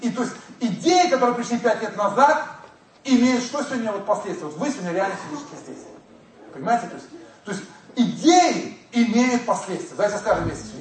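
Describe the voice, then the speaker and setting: A man with an extremely high pitch and lively intonation talks at a fairly quick pace with long, frequent pauses and big swings in loudness, amid audible room echo and noticeable background noise. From former Soviet Union. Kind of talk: lecture. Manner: animated.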